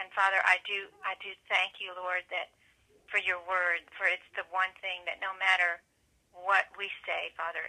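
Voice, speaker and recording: Against a quiet background, a woman speaks at a fairly slow pace in a monotone, flat intonation. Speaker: prayer call participant. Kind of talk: prayer. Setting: phone prayer line. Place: office. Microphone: webcam.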